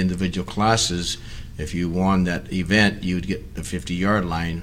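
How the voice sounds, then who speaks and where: A man with a very deep, low voice and an American accent talks at a moderate pace, with audible room echo and noticeable background noise. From Hayward, California. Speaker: retired educator. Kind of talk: oral history reminiscence. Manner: halting, many fillers.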